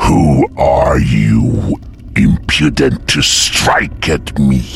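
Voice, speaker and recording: A man uses a put-on character voice, rumbling and very deep, at a very slow pace. Clear background noise runs behind him. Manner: hateful, scornful.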